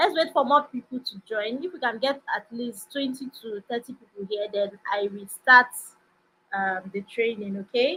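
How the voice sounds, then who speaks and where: With lively intonation and big swings in loudness, a woman talks at a moderate pace in a high pitch. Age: young. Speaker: investment trainer. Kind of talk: live webinar class. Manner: soft-spoken.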